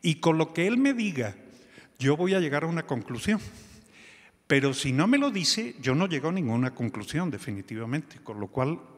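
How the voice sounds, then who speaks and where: A fairly high-pitched male voice at a moderate pace, with very wide pitch swings. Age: 60s. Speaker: physician, telemedicine organization director. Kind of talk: conference talk. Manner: halting.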